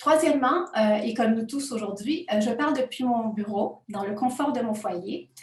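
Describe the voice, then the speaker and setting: A woman with a non-native accent speaks at a high pitch and moderate pace with ordinary pitch variation. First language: not French (speaking French). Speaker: university researcher. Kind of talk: academic conference presentation. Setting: home office, remote conference. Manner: hesitant, many fillers.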